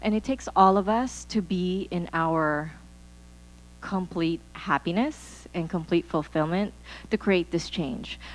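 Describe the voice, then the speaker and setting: Music plays in the background. A woman talks over it at a fairly slow pace. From Philippines. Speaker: conference speaker. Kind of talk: motivational talk. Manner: animated.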